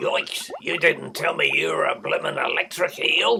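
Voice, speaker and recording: A put-on character voice delivers the lines at a moderate pace. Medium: read story. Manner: sly, greedy.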